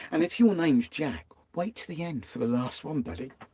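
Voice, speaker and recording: With a dark, mellow tone and vocal fry, a man at medium pitch speaks at a moderate pace, his pitch swinging very widely. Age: 60s. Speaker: vanlife vlogger. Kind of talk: live stream talk. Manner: casual, conversational.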